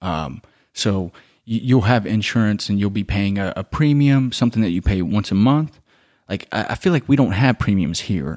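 Dry and close with no echo, this very clean recording with a silent background carries a man's normal speaking voice, a normal speaking voice. He speaks at a fairly low pitch and moderate pace with lively intonation. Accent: American. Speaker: podcast co-host. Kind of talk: casual debate.

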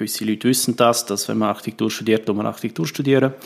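A man's medium-pitched voice with fairly even intonation. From Graubünden, Switzerland (Chur). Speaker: politician, architect. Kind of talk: podcast interview.

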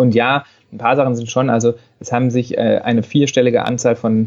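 A man talks at a medium pitch in a monotone, flat delivery. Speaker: paediatrician. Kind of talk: interview.

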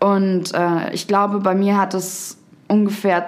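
The speaker is a woman. Room echo can be heard. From Upper Bavaria, Garmisch. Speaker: poetry slammer and author. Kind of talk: casual interview. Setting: studio.

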